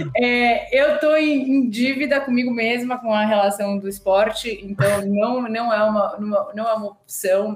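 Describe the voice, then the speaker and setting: This woman's voice sits fairly high, with ordinary pitch variation. Noticeable background noise runs under the recording. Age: 40s. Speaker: marketing executive. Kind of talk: interview.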